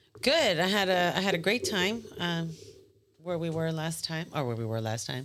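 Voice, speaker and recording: A woman with an American accent, fairly low pitch and very wide pitch swings. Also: moderate pace. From US mainland. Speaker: podcast panelist. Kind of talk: casual chat.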